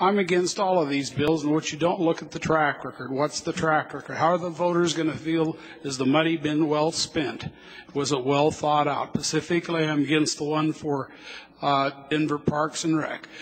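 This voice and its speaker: A man with an American accent speaks at a moderate pace in a fairly high pitch. His intonation is flat and monotone, with noticeable background noise. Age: 60s. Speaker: citizen speaking at public hearing. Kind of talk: public comment at council hearing. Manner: halting.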